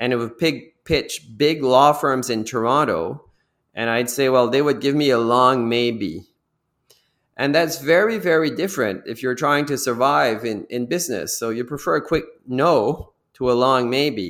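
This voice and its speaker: A plain, everyday voice from a man, medium in pitch, moderate in speed, with ordinary pitch variation. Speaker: business executive. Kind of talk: interview.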